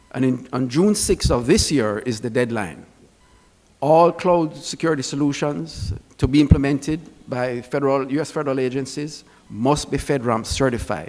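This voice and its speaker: With a Jamaican accent, the speaker talks at a moderate pace and shows ordinary pitch variation. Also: man, fairly high pitch for a man. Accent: Jamaican accent, noticeable. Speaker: security expert speaker. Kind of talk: conference presentation.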